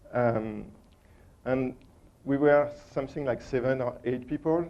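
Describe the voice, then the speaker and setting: With a strong French accent, a man speaks at a medium pitch and a fairly slow pace, his intonation fairly even. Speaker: conference speaker, operations engineer. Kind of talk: conference presentation. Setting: stage with audience. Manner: halting, many fillers.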